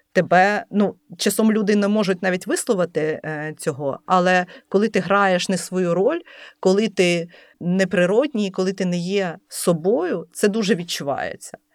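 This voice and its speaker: A woman with a plain, everyday voice speaks at a fairly slow pace in a medium pitch with ordinary pitch variation. The recording is very clean, with a silent background. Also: dry, close sound with no echo. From Lviv, western Ukraine. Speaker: entrepreneur and food blogger. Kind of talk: interview.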